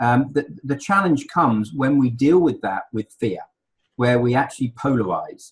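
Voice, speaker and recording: Somewhat breathy, a man with an English accent speaks with ordinary pitch variation. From England. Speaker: leadership consultant. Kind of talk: interview. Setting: radio show. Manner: halting, many repeated words.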